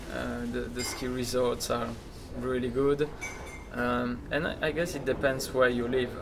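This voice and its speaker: Over noticeable background noise, a man speaks fairly slowly in a monotone, flat intonation. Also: medium pitch for a man. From Belgium. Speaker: entrepreneur, sandwich shop founder. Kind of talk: interview answer.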